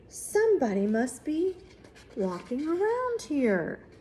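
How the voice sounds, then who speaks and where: Over clear background noise, a put-on character voice moves at a fairly slow pace with very wide pitch swings. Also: woman, high pitch for a woman. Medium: read story.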